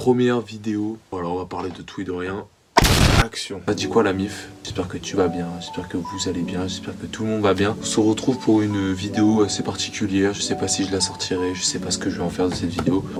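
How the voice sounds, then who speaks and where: Over music in the background, a man with a very deep, low pitch talks at a fairly quick pace in a relaxed tone with monotone, flat intonation. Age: 20s. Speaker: university student, vlogger. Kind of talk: casual vlog monologue. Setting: alone in bedroom, filming himself. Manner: relaxed, hesitant with fillers.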